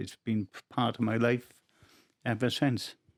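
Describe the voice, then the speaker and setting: A man with a South Wales accent, in a dry, close sound with no echo. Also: very clean recording, silent background. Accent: Welsh (South Wales). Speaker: rugby autograph collector. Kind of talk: testimony. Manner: halting.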